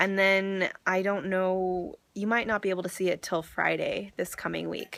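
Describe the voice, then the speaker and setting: A woman talks at a moderate pace. She hardly pauses at all. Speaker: vlogger. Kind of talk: personal vlog. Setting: grandmother's house, indoors. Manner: hesitant, many fillers.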